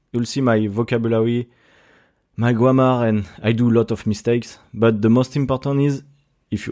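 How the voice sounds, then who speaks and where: A man with a strong French accent talks at a moderate pace in a medium-pitched voice. His tone is dark and mellow and his intonation monotone and flat. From France. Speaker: podcaster. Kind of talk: casual solo podcast monologue. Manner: casual, halting with many fillers.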